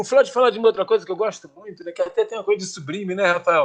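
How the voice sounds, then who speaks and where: The tone is animated, and the intonation is lively. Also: man. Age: 70s. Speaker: radio show panelist. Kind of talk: casual chat.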